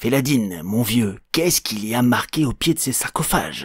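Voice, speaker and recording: Using a put-on character voice, a man speaks at medium pitch. His pace is moderate and his intonation lively. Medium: read story. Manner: calm, reasonable.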